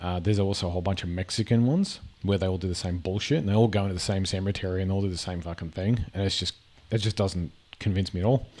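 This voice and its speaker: A man's very deep, low voice with an Australian accent, very fast in pace, with fairly even intonation. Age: 40s. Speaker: gaming and reaction video creator. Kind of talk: casual commentary reacting to videos. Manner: halting, with many fillers and repetitions.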